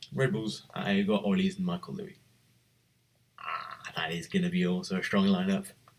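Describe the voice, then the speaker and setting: A man whispering at a moderate pace. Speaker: livestreamer hosting a sim racing league draft. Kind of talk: live commentary. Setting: live stream. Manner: whispering, keeping voice down; animated.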